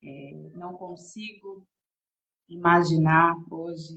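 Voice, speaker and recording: A woman with a fairly low pitch speaks in a somewhat breathy voice. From São Paulo state, Brazil. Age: 30s. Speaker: women's devotional preacher. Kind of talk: sermon.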